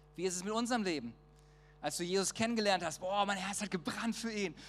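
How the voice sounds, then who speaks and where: The speaker talks at a fairly quick pace, and noticeable background noise runs under the voice. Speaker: preacher. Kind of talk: sermon. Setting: church. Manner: informal, conversational and earnest; warm, persuasive, direct address.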